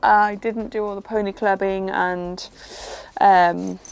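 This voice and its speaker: A woman with a Welsh accent, over noticeable background noise. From Wales, Pembrokeshire. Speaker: equestrian vlogger. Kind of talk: casual vlog chat. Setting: outdoors in a field. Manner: fast.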